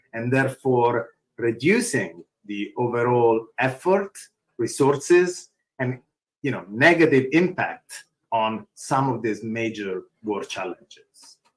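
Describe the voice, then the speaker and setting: Speaking very slowly in a strong Italian accent, a man at medium pitch uses lively intonation. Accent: thick Italian. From Italy. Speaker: open source foundation executive. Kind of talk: conference panel talk.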